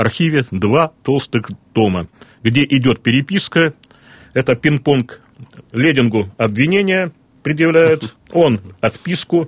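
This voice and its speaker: At a very slow pace, a man with a fairly high pitch speaks with lively intonation and very even loudness. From Russian Far East, Vladivostok. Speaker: regional historian. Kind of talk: radio interview. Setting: studio.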